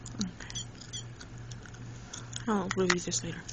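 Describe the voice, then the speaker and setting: Delivered at a fairly slow pace, the voice has a dry sound with no echo amid noticeable background noise. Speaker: toy reviewer. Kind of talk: ASMR toy review. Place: home room. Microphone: phone near.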